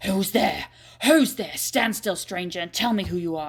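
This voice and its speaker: In a put-on character voice, a woman growls at a medium pitch and a moderate pace. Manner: threatening, demanding.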